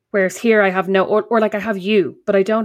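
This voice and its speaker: A woman with an Irish accent at a very fast pace against a quiet background. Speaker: podcast co-host. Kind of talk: casual chat.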